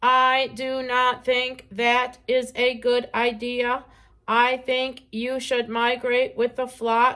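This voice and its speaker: In a put-on character voice, a woman speaks very slowly at a high pitch with monotone, flat intonation, on a very clean recording with a silent background. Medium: read story. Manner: precise, no contractions.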